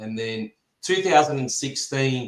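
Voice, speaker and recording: Here a man talks at a moderate pace with an Australian accent. His pitch sits at medium with ordinary variation. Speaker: fencing supply business representative. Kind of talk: podcast interview.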